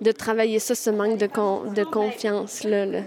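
The woman's voice sits fairly high in pitch and moves at a fairly slow pace. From Quebec, Wendake. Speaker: language and culture project manager. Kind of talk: interview testimony.

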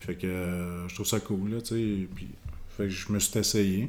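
A man's dark, mellow voice, fairly low in pitch, with fairly even intonation. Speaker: retired boxer. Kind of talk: casual interview.

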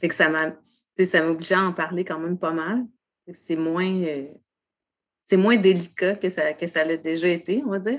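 A woman with a fairly low pitch and ordinary pitch variation at a very slow pace, with long, frequent pauses. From Quebec, Côte-de-Beaupré. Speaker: poet and author. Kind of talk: casual interview. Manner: halting, many fillers.

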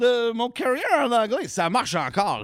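A man talks with a Quebec accent. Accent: Québécois. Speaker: comedian. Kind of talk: casual chat. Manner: animated.

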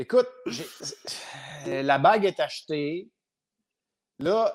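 This man speaks with a Quebec accent. The recording is very clean, its background silent. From Quebec, Montreal. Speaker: retired hockey goaltender. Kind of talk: casual interview.

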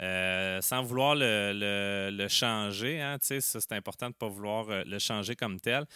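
With a Quebec accent, a man speaks at a very slow pace with hardly any pauses, his fairly low voice bright and sharp in tone, showing ordinary pitch variation, on a very clean recording with a silent background. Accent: Québécois French. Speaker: soil science teacher. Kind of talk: explanatory chat.

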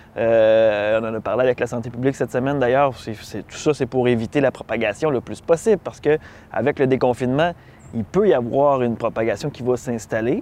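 Here a man speaks in a Quebec accent with a dark, mellow tone. His pitch is medium, with ordinary variation, at a moderate pace. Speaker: news show co-host. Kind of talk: news discussion. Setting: outdoors.

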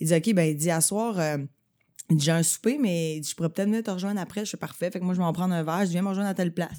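In a Quebec accent, a woman talks at a very fast pace with a fairly low pitch, ordinary pitch variation, and a dark, mellow tone, on a very clean recording with a silent background. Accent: Québécois French. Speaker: podcaster and comedy writer. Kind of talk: casual chat.

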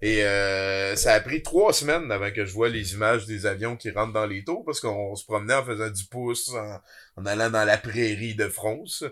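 A man with a fairly low pitch talks in an ordinary speaking voice, with ordinary pitch variation. The pace is moderate, and the recording is very clean with a silent background. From Quebec, Abitibi. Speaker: podcast host and web creator. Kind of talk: casual chat.

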